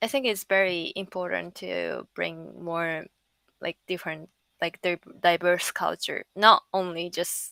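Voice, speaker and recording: With a Japanese accent, a woman talks at a very slow pace with long, frequent pauses, the sound dry and close with no echo and the recording very clean against a silent background. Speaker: NFT artist and project founder. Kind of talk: interview. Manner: halting, many fillers.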